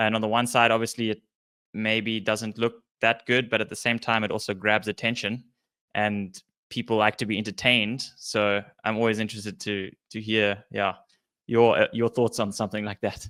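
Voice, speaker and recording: A man with fairly low pitch, a bright, sharp tone, monotone, flat intonation and a moderate pace, on a very clean recording with a silent background and a dry, close sound with no echo. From South Africa. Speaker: podcast host and athlete. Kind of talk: podcast interview.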